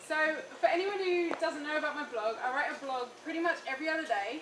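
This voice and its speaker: Someone with an English accent speaks amid audible room echo. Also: woman. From England. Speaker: raw food speaker and blogger. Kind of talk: lecture. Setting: cafe with live audience. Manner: casual, with filler ums.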